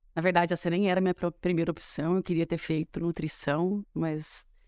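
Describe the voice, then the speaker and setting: On a very clean recording with a silent background, a woman speaks at a fairly quick pace in a normal speaking voice with a fairly low pitch. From interior of São Paulo state, Matão. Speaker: rural tourism owner, trained dentist. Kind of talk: casual interview chat.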